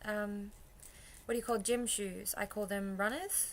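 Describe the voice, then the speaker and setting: Her tone bright and sharp, a woman speaks at medium pitch and a moderate pace with fairly even intonation. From Queensland, Australia. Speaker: vlogger. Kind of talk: casual vlog, accent challenge. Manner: casual, hesitant with fillers.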